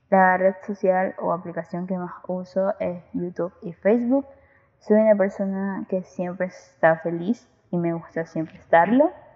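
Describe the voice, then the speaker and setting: A woman with an unremarkable speaking voice talks at a fairly slow pace, her medium pitch moving with ordinary variation. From Ecuador, Guayaquil. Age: young. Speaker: student podcaster. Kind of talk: casual monologue.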